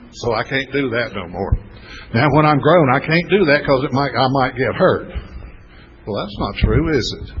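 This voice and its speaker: Noticeable background noise sits under a man speaking at a moderate pace, his medium-pitched voice marked by lively intonation. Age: 70s. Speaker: recovery mentor. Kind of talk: workshop talk.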